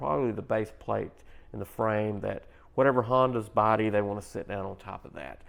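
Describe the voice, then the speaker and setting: A man is speaking here. His pace is fairly quick. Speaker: tech product reviewer. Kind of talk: product review. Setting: home kitchen. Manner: casual, conversational.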